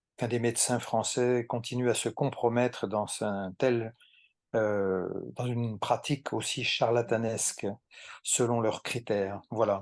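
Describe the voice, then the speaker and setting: Against a quiet background, a man speaks very slowly at medium pitch with fairly even intonation. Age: 70s. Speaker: retired doctor turned therapist. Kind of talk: interview. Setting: long-distance call. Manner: hesitant, many fillers.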